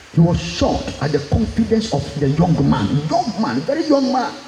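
Speaking at a moderate pace, a man is heard with audible room echo and light background noise. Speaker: preacher. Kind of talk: sermon. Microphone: handheld.

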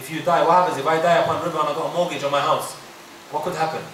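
Through audible room echo and light background noise, a man talks at a very fast pace. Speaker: Islamic teacher. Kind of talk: religious lecture. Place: hall. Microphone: podium.

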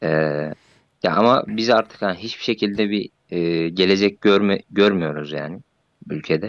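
A man speaks at a moderate pace with ordinary pitch variation and long, frequent pauses, the sound dry and close with no echo. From Central Anatolia. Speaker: civil servant. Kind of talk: casual chat. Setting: voice chat. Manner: halting.

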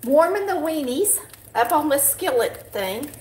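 A woman speaks with a Southern US accent in a high voice, her pitch swinging very widely. Audible echo from the room surrounds her. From Polk County, Georgia. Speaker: home cook, cooking channel host. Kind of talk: live cooking tutorial talk. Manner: casual, folksy. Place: kitchen. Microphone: camera far.

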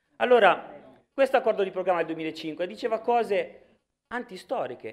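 Against a quiet background, a man speaks in a Sicilian accent. His tone is animated and his pitch is high. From Sicily, Palermo; Sicily. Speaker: regional politician. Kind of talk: political speech in assembly. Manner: animated, forceful. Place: hall. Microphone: podium.

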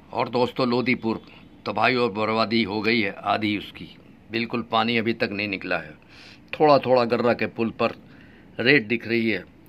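With fairly even intonation, the speech unfolds at a fairly slow pace. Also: man. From Uttar Pradesh, India. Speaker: YouTube vlogger. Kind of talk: vlog monologue. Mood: earnest, insistent. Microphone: phone near.

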